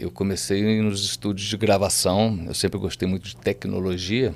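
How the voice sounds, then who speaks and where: A man talks at a moderate pace with vocal fry. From southern Minas Gerais, Brazil. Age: 60s. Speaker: music producer and businessman. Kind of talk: podcast interview.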